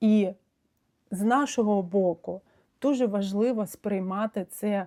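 In a Russian accent, a woman talks at a fairly slow pace. Her medium pitch shows ordinary variation. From Ukraine. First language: Russian (speaking Ukrainian). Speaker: psychotherapist. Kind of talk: video monologue. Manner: hesitant, with frequent fillers.

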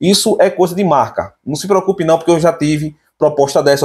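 Speaking at a very fast pace, the man has an animated tone. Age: 30s. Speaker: tech YouTuber. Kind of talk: casual vlog monologue. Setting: home. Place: home room. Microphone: phone near.

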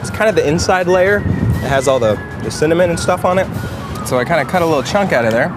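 Music plays in the background behind a man's voice. The sound is dry with no echo. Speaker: news site video host. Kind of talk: casual taste-test commentary. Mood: playful, jokey. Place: street. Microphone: camera far.

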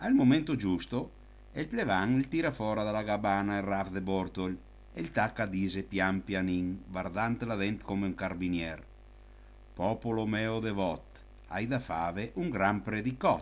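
This man has a plain, everyday voice, fairly low in pitch. His pace is fairly slow and his pitch variation ordinary. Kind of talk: folk anecdote told in local dialect.

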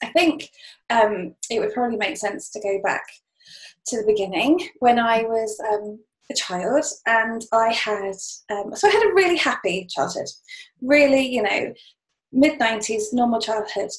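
A woman talks at a moderate pace with lively intonation and long, frequent pauses. The background is quiet. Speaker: podcast interview guest. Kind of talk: interview answer. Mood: warm, reflective storytelling. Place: home room. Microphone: webcam.

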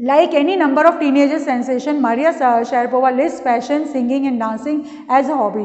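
A woman with a high pitch and fairly even intonation speaks over a quiet background. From India. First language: Hindi. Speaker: school English teacher. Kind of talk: lecture. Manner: reads textbook passages aloud with explanations. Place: classroom. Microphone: camera far.

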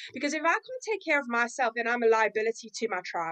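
The voice moves at a very fast pace with very wide pitch swings, in a dry, close sound with no echo. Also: woman. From South Africa. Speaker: personal impact specialist, trainer. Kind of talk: casual interview chat.

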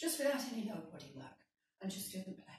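A woman's voice comes through somewhat breathy. Audible room echo fills the recording. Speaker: fitness instructor. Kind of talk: exercise class instruction. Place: kitchen. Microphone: camera far.

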